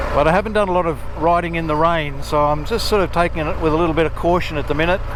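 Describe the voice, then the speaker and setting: Talking at a very fast pace with an Australian accent, a man is heard through audible room echo and noticeable background noise. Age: 60s. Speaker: motorcycle vlogger. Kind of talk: riding vlog narration. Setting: riding motorcycle outdoors. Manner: relaxed, casual.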